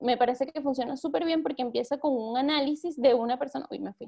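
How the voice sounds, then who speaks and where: Against a quiet background, a woman with a Venezuelan accent talks at a high pitch with ordinary pitch variation. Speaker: journalist and newsletter editor; journalist, newsletter editor. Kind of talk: workshop talk. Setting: video call. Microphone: webcam.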